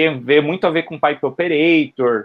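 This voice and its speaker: A man with a normal speaking voice talks at a moderate pace. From Brazil, São Paulo east zone. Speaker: software developer giving a talk. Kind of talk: informal tech talk.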